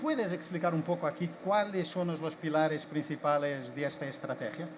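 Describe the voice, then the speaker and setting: A man talks at a moderate pace and a fairly high pitch, with ordinary pitch variation. Noticeable background noise can be heard. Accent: Portuguese. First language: Portuguese (speaking Spanish). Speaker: panel moderator. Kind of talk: panel discussion.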